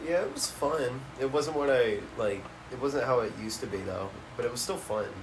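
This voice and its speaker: At a moderate pace and medium pitch, a man speaks with ordinary pitch variation, with audible room echo and noticeable background noise. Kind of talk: casual chat. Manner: loud; animated.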